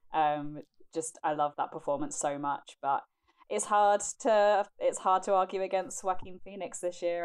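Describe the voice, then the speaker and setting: This woman talks with a British accent at a fairly slow pace. Her pitch varies in an ordinary way. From United Kingdom. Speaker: film critic panelist. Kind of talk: casual chat.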